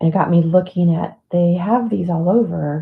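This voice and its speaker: The woman's pitch is fairly low and her voice somewhat breathy. She mumbles at a fairly slow pace. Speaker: livestream host, mandala drawing group leader. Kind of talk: casual livestream chat. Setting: live video stream. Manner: mumbling.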